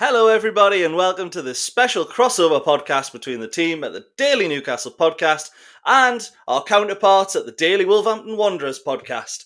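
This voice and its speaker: A man with a Geordie accent talks at a fairly quick pace in a high, bright, sharp tone. His pitch swings very widely and his loudness shifts in big swings. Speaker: football podcast host. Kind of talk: casual chat. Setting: online call.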